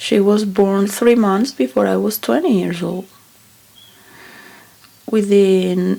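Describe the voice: Speaking at a slow pace, a woman has a medium pitch and a dark, mellow tone. Vocal fry is present in her voice.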